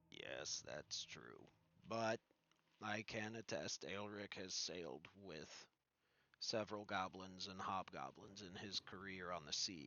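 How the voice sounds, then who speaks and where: Doing a put-on character voice, a man growls out raspy, very deep, low lines at a fairly slow pace. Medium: actual play.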